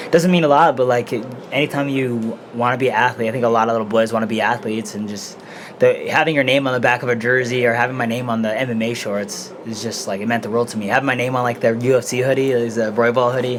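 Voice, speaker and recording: A man's medium-pitched voice at a very fast pace, with fairly even intonation, over noticeable background noise. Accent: American. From Denver, Colorado. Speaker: mixed martial arts fighter. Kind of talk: casual interview. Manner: soft-spoken; quiet. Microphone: too quiet.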